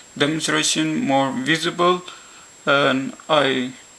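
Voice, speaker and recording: The speaker has a non-native accent and talks at a very slow pace. Background noise is noticeable. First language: not English; English is a third language. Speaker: science educator. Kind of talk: educational science demonstration.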